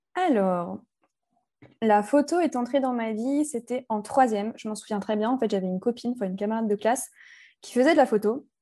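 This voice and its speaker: A woman talks at a moderate pace in a fairly high pitch with a dark, mellow tone and ordinary pitch variation. Long, frequent pauses and big swings in loudness stand out against a quiet background. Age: 20s. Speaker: wedding photographer. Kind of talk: casual chat.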